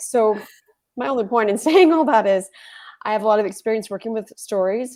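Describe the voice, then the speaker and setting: A woman talks at a fairly quick pace. She has a Texan accent. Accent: Texan American English. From Texas. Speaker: writing coach and retired librarian. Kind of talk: interview on a live webinar.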